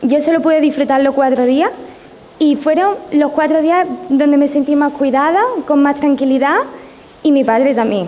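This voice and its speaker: The speech moves at a moderate pace with long, frequent pauses and very even loudness. Noticeable background noise and audible room echo are present. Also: woman, high pitch for a woman, ordinary pitch variation. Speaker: nurse and audience member. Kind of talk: audience question at conference. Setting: conference hall with audience. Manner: halting, many fillers.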